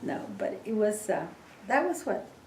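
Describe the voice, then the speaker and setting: Fairly slow female speech amid audible room echo and noticeable background noise. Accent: Mexican. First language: Spanish. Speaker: interviewee, oral history. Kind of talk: oral history interview. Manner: halting, many fillers.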